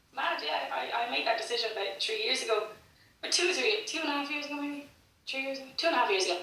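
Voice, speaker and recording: A woman's raised, projected voice, high in pitch with very wide pitch swings, at a very fast pace, with audible room echo and noticeable background noise. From Ireland, Cork. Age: 20s. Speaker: singer-songwriter. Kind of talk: interview. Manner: fast, with many repetitions and false starts.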